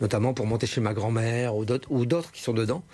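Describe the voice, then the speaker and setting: A man speaks with a northern French accent. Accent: northern French accent, kept. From northern France, Lille. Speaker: humorist and radio columnist. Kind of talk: TV interview.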